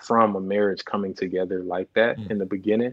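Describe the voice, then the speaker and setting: In a quiet background, a man speaks at a fairly low pitch. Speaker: guest. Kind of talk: interview answer. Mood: reflective, candid. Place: home room. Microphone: earbuds.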